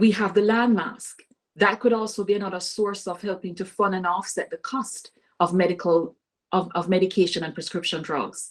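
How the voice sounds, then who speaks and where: Speaking with a Caribbean accent, a woman keeps a medium pitch, fairly even intonation and a moderate pace. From Caribbean island. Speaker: political candidate. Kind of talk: interview. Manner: halting.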